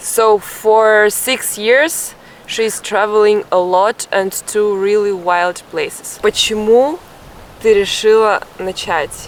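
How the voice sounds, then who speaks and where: Over noticeable background noise, a woman with a fairly high pitch speaks at a very slow pace with ordinary pitch variation. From Russia. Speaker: travel vlogger. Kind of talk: travel vlog narration and interview.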